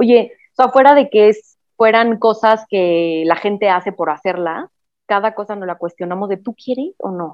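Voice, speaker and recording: Woman with a plain, everyday voice, at a fairly slow pace with ordinary pitch variation. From Mexico City. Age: 30s. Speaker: recently married bride. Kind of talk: casual chat.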